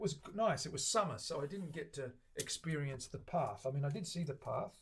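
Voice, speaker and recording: With an Australian accent, a man speaks at a moderate pace. His voice is somewhat breathy, with ordinary pitch variation. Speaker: luthier streaming guitar builds. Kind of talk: casual chat with live stream viewers. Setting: live stream from workshop. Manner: relaxed, rambling with fillers.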